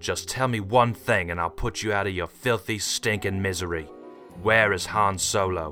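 Over clear music in the background, a man uses a growling put-on character voice at a fairly low pitch and a moderate pace. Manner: menacing.

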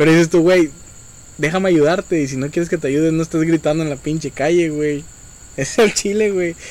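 A man with a Mexican accent, fairly high in pitch, at a fairly quick pace with fairly even intonation, on a very clean recording over a silent background. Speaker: podcast host. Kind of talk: casual chat.

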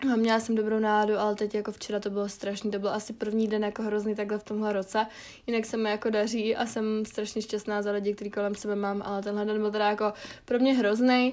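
At a very fast pace, a woman speaks with a fairly high pitch and a monotone, flat intonation. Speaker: podcast host. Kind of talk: casual solo monologue. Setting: home bedroom. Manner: casual, filler-heavy.

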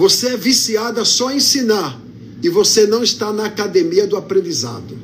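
A man's high-pitched voice with ordinary pitch variation, noticeable background noise and audible room echo. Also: moderate pace. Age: 50s. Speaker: pastor. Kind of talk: sermon.

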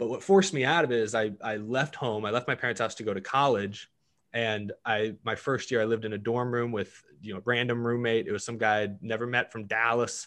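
A man with an unremarkable speaking voice talks at a fairly quick pace with hardly any pauses. His medium pitch shows ordinary variation over a quiet background. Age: 20s. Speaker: YouTuber and podcast network founder. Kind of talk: interview.

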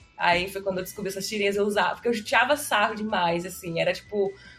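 Over music in the background, a woman with a medium-pitched voice talks at a fairly quick pace. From Brazil, Osasco (São Paulo area). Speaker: database administrator and podcaster. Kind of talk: casual interview chat.

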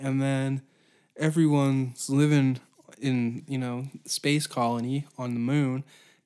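The man's voice is fairly high in pitch with a dark, mellow tone. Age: 20s. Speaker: comedy podcast host. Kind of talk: comedic solo monologue. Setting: home office. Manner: animated. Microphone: room echo.

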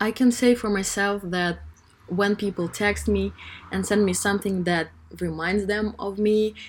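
A woman talks in a plain, everyday voice. Her pace is fairly slow and her intonation fairly even. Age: 20s. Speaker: student podcaster. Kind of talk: solo advice monologue.

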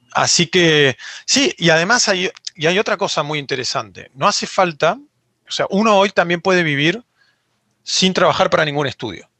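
A high-pitched man's voice with lively intonation. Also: moderate pace. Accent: Argentine. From Argentina. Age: 30s. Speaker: 3D character artist. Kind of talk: interview.

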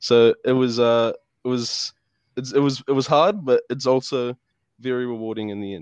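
Against a quiet background, a man with a New Zealand accent talks at a fairly slow pace with long, frequent pauses and big swings in loudness, the sound dry and close with no echo. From New Zealand, Lower Hutt, Wellington. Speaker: university student. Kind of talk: casual interview. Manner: halting, many fillers.

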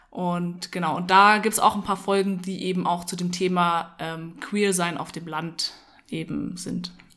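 A woman speaks at a fairly slow pace in a fairly low voice with a bright, sharp tone. Her intonation is monotone and flat. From Munich, Germany. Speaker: podcast co-host. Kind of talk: casual chat. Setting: at home in a flat.

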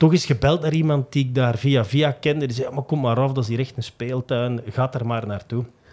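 A man uses an ordinary speaking voice with a medium pitch and fairly even intonation, talking at a fairly quick pace with hardly any pauses. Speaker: sports journalist. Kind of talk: casual chat.

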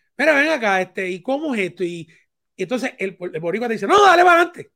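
With a Puerto Rican accent, the speaker uses a raised, projected voice and a bright, sharp tone, swinging very widely in pitch at a very fast pace in a very clean recording with a silent background. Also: man. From Puerto Rico. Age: 50s. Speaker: radio DJ and video director. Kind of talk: interview. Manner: halting.

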